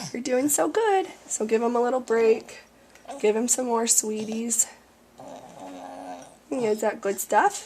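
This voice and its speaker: A very slow pace with long, frequent pauses over noticeable background noise. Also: woman. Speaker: parent of a tube-fed child. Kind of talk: instructional demonstration.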